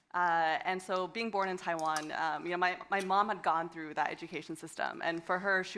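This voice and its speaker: With an American accent, a woman speaks at a very fast pace and a fairly low pitch. Her intonation is fairly even. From United States. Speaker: education entrepreneur, panelist. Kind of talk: panel discussion. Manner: halting, many fillers and repetitions.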